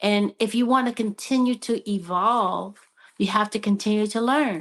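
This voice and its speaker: With a normal speaking voice, a woman talks at a fairly high pitch and moderate pace, with fairly even intonation against a quiet background. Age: 60s. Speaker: panelist. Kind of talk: panel discussion.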